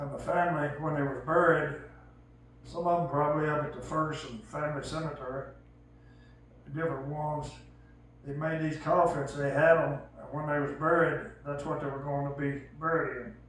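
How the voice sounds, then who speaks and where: An American-accented man at a moderate pace, fairly high in pitch, with monotone, flat intonation, big swings in loudness, audible room echo and noticeable background noise. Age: 70s. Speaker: elderly storyteller. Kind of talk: casual storytelling.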